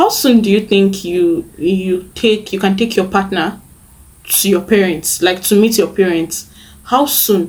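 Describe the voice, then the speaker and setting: At a fairly slow pace, a woman speaks at a medium pitch with ordinary variation, sounding somewhat breathy. Her loudness stays very even. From Nigeria. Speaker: lifestyle vlogger. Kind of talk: casual chat.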